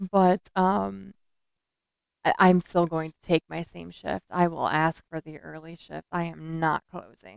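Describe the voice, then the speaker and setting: A woman with an ordinary speaking voice talks at a fairly slow pace and fairly low pitch, with lively intonation and big swings in loudness, in a dry, close recording with no echo. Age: 30s. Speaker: true crime podcast co-host. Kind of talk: casual chat.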